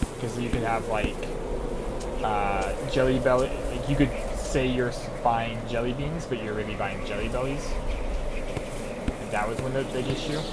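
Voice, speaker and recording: Over loud background noise, a man speaks at a moderate pace, leaving long, frequent pauses. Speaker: streamer. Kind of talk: casual stream chat. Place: home room. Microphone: headset.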